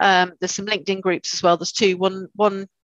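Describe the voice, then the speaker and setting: Her intonation is monotone and flat, at a fairly quick pace and medium pitch for a woman. The sound is dry and close, with no echo. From Cornwall, southwest England. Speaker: change manager. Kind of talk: podcast interview. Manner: hesitant, many fillers.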